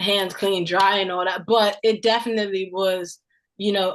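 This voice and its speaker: The intonation is monotone and flat at a fairly slow pace. The background is quiet. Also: woman. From Bermuda. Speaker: student athlete. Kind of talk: interview.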